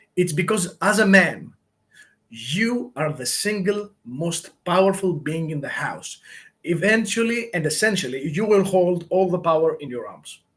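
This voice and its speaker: With a non-native accent, a man speaks at a high pitch with lively intonation. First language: not English. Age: 30s. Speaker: YouTuber giving life advice. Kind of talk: live Q&A monologue. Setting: livestream. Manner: halting, many filler words.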